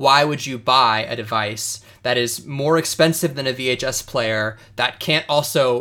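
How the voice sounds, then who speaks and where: A man talks with a bright, sharp tone at a medium pitch and a fairly slow pace. His intonation stays fairly even. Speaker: podcast co-host. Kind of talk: casual chat.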